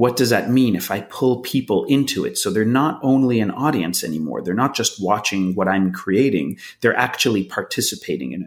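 A man's medium-pitched voice with vocal fry and hardly any pauses. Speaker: actor and filmmaker. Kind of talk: casual interview. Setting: video call.

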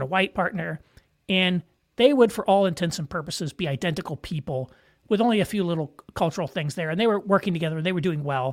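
A fairly quick voice with an American accent on a very clean recording with a silent background. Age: 50s. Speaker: podcast host. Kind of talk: solo commentary.

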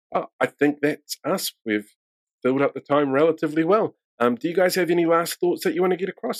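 Speaking with a New Zealand accent, a man goes at a fairly quick pace in a dry, close sound with no echo. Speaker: podcast host. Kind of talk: casual interview.

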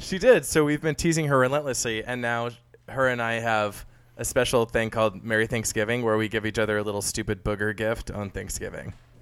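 On a very clean recording with a silent background, a man talks at a medium pitch and a fairly quick pace, with ordinary pitch variation. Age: 20s. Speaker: podcast co-host. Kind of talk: casual chat. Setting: apartment. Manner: animated.

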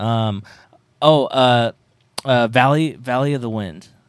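Ordinary pitch variation around a medium pitch, from a man. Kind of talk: casual chat, angry rant. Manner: angry, profane, emphatic.

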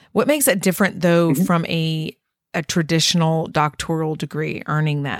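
A woman speaks at a fairly quick pace in a normal speaking voice with fairly low pitch. Her pitch varies in an ordinary way, and the sound is dry and close with no echo. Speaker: podcast host. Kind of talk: casual interview conversation.

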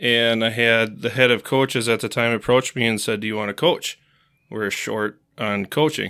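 A man with a Wisconsin accent speaks at medium pitch and a moderate pace, with fairly even intonation and a bright, sharp tone. The recording is very clean, with a silent background. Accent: Upper Midwest (Wisconsin). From central Wisconsin (Marshfield). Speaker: youth hockey coach. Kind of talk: interview.

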